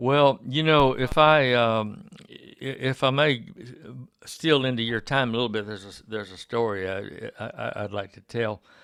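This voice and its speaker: In an Alabama accent, a man speaks at a moderate pace. His medium pitch shows ordinary variation. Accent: Southern US (Alabama). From US South. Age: 70s. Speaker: radio host. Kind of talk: casual interview. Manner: halting, many fillers.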